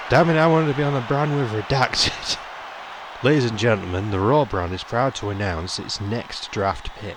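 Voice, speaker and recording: A man talks at a moderate pace with lively intonation. Noticeable background noise can be heard. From Britain. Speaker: gaming YouTuber. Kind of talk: let's play commentary. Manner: casual, animated.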